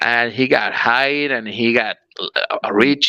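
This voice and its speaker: A man with a Spanish accent speaks at medium pitch in a bright, sharp tone. The sound is dry and close, with no echo. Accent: very Spanish. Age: 40s. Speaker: pro wrestler. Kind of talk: interview. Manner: halting.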